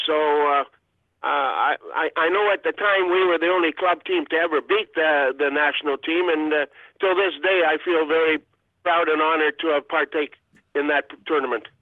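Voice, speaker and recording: A man with a high pitch keeps a moderate pace and fairly even intonation. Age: 70s. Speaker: retired hockey goaltender. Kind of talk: interview. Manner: halting, many fillers.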